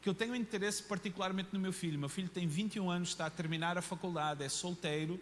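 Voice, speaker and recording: A man speaks with a high pitch. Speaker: pastor. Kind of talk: sermon. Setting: church. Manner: animated.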